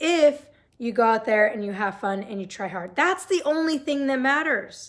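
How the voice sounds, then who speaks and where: A woman shouts in a raspy, high-pitched put-on character voice, her pitch swinging very widely at a moderate pace. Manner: yelling.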